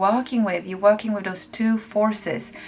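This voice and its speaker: A woman's medium-pitched voice, monotone and flat, at a moderate pace over noticeable background noise. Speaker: tarot reader. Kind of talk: tarot reading to camera.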